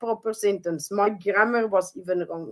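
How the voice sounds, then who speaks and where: A woman speaks with a non-native accent. Her pace is moderate. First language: not English. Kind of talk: interview. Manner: halting.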